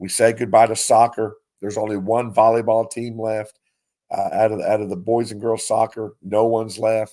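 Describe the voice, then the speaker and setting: A man with an Appalachian accent speaks at a moderate pace and a medium pitch, with a dark, mellow tone. His intonation is monotone and flat, in a very clean recording with a silent background. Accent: Appalachian Kentucky. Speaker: sports radio host. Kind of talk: sports talk show.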